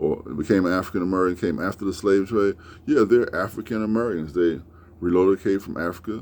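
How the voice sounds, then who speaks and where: Speaking very fast, a man with a very deep, low voice shows ordinary pitch variation. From United States. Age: 60s. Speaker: YouTuber, commentator. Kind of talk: casual monologue commentary. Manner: halting, many fillers and repetitions.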